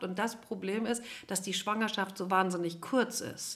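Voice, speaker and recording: Moderate pace from a woman with a somewhat breathy voice. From Cologne, western Germany. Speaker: nutrition scientist and family therapist. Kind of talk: interview.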